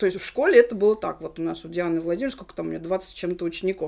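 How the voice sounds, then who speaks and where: A woman is speaking. Her pitch varies in an ordinary way. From Russia, Nizhny Novgorod. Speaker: English teacher. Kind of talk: casual chat. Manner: stumbling over words.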